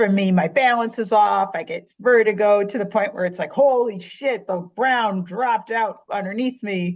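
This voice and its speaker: Against a quiet background, a woman talks with a strong Chicago accent. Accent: thick Chicago. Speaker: writer and surfer. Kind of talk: casual chat.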